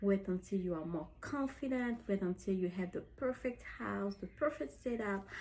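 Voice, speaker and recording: A woman with a medium pitch and a somewhat breathy voice talks at a moderate pace with lively intonation and hardly any pauses. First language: French. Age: 30s. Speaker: lifestyle vlogger. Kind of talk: personal vlog. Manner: halting.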